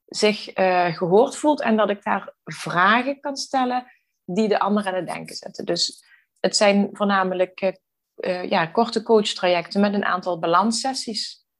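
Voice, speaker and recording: A woman at medium pitch speaks at a moderate pace. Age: 40s. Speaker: balance coach. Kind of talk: interview. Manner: hesitant, many filler sounds.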